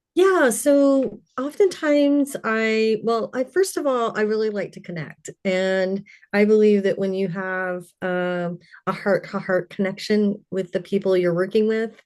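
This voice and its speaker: Speaking at a fairly slow pace with an American accent, a woman uses a normal speaking voice at medium pitch with ordinary pitch variation over a quiet background. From Louisiana and Colorado. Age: 60s. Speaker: intuitive healer. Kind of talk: interview.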